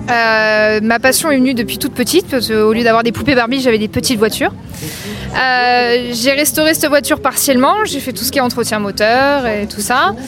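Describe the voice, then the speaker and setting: Over noticeable background noise, a woman talks at a fairly quick pace in a high pitch with ordinary pitch variation. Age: 20s. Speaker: classic car owner. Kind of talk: testimony. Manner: halting.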